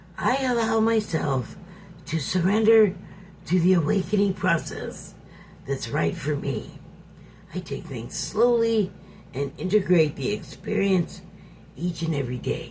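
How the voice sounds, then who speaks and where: A man whispers in a breathy, put-on character voice at a moderate pace. Long, frequent pauses break up the speech over clear background noise. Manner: whispering, breathy.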